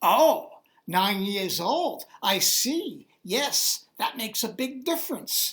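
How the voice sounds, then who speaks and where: A woman speaks very slowly in a high, put-on character voice with very wide pitch swings. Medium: read story. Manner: dry, sardonic.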